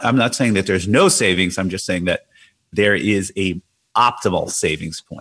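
A man with an unremarkable speaking voice talks at a moderate pace in a fairly low pitch with ordinary pitch variation. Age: 50s. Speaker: hedge fund trader and author. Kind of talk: casual interview.

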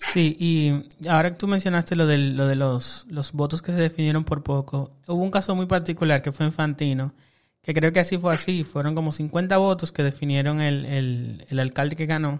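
A man speaks in a plain, everyday voice at a fairly high pitch, with fairly even intonation and a moderate pace. There are hardly any pauses, and the recording is very clean with a silent background. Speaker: podcast host. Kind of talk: casual interview. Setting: studio.

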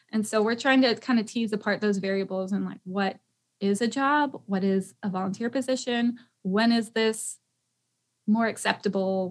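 An unremarkable speaking voice from a woman with an American accent, fairly high pitch, ordinary pitch variation and moderate pace. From Tennessee, US. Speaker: eco-tour founder and podcast host. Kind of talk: casual chat.

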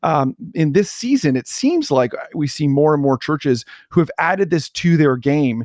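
With a Canadian accent and a plain, everyday voice, a man speaks at a fairly high pitch and a moderate pace, using ordinary pitch variation in a dry, close sound with no echo. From Canada. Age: 40s. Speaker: pastor and church consultant. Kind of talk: podcast interview.

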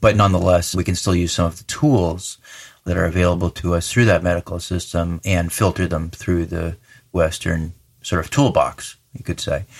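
Speaking with a General American accent, a man has a very deep, low pitch and a somewhat breathy voice, with fairly even intonation at a moderate pace. The recording is very clean against a silent background. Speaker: veterinarian. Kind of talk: expert interview explanation.

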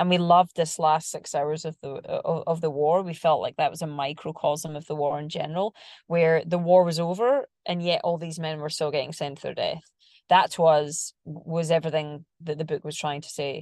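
A woman with a fairly low pitch speaks in a monotone, flat way at a moderate pace. Her loudness swings a lot against a quiet background. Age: 40s. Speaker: screenwriter and producer, triathlete. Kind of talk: interview.

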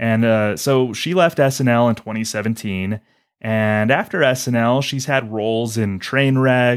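A man with an unremarkable speaking voice talks at a medium pitch and a moderate pace, with ordinary pitch variation. The recording is very clean, with a silent background. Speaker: podcast host.

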